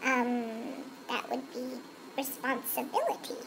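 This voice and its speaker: Over clear background noise, a woman uses a cartoonish character voice, high in pitch and fairly slow in pace. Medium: puppet. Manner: hesitant.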